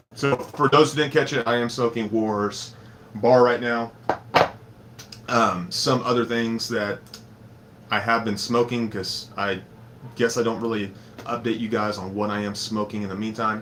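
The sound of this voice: A man's raspy, put-on character voice at medium pitch and a moderate pace, with long, frequent pauses and light background noise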